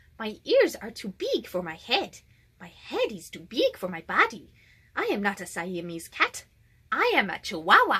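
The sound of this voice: A woman does a put-on character voice with a Spanish accent. Her pitch is fairly high, and she keeps a moderate pace.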